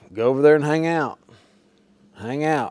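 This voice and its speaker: A man talks at a moderate speed. Behind him, the background stays quiet. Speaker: welding instructor. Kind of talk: tutorial. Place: workshop. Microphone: lapel.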